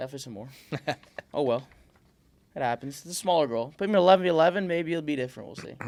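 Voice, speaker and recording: A man with an American accent talks very fast, with lively intonation and big swings in loudness. Long, frequent pauses break up his speech. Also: fairly high pitch for a man. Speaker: podcast host. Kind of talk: casual podcast conversation.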